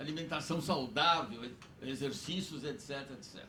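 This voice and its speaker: Both audible room echo and noticeable background noise come through in this clip. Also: man. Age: 80s+. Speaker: audience member. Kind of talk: audience question at a public debate. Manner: formal.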